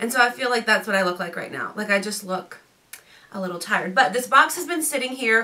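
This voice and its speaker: A woman with a fairly high pitch speaks at a very fast pace with lively intonation over noticeable background noise. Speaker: fashion youtuber. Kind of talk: unboxing try-on video. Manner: casual, chatty.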